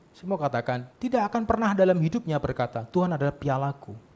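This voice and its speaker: A man speaks in a high pitch with lively intonation. His tone is animated. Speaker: pastor. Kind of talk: sermon. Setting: church service with congregation. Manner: animated, conversational with audience.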